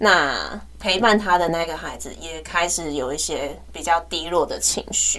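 At a fairly slow pace, the speech shows big swings in loudness over noticeable background noise. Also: woman. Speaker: teacher and podcast co-host. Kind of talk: casual chat.

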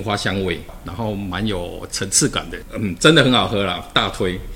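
A man with a Taiwanese accent speaks at a moderate pace in a fairly low pitch. His pitch varies in an ordinary way, and noticeable background noise comes through. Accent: Taiwanese Mandarin. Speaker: government official. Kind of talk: casual chat; interview.

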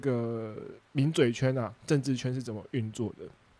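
Dark and mellow in tone, this voice has a Taiwanese accent and ordinary pitch variation. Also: man. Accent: Taiwanese Mandarin. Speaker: food truck owner and podcast host. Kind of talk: casual solo talk with live chat.

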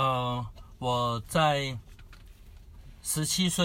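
His pitch rises and falls in an ordinary way. The speaker is a man. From Taiwan, Kaohsiung. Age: young. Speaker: preacher, former Japanese-cuisine chef. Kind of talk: personal testimony interview.

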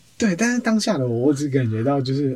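A man talks at a very fast pace with a medium pitch. Noticeable background noise is present. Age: 20s. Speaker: social media editor at a mindfulness centre. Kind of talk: interview.

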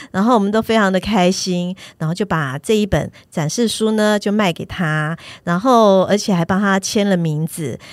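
This woman has a normal speaking voice, medium pitch, ordinary pitch variation and a moderate pace. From Taiwan, Taipei. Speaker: picture book author and illustrator. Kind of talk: casual interview.

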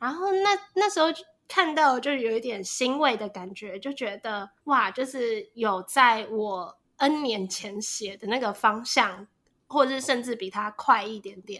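Over a silent background in a very clean recording, a woman with a fairly high pitch and a bright, sharp tone speaks at a fairly slow pace, her intonation lively and her loudness swinging widely. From Taiwan. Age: 20s. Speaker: podcast host. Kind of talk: casual chat.

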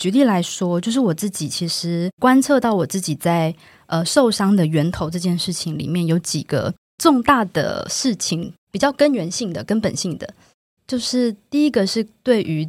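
Medium-pitched female speech with very wide pitch swings at a moderate pace, on a very clean recording with a silent background. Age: 30s. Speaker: book editor. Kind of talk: conversational interview.

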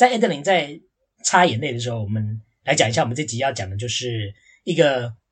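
At a fairly quick pace, a man speaks at medium pitch with lively intonation and a somewhat breathy voice. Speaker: podcast co-host. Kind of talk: casual chat.

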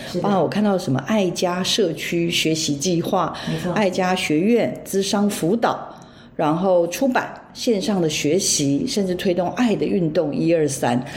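In a room with audible echo, a woman speaks at a fairly slow pace with a fairly low pitch. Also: ordinary pitch variation. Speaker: radio host. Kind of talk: casual chat.

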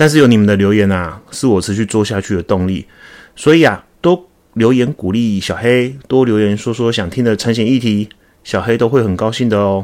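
At a fairly quick pace, a man talks in a normal speaking voice at a medium pitch with ordinary pitch variation. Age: 40s. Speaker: podcast host, insurance agent. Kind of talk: solo podcast monologue. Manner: casual, with fillers.

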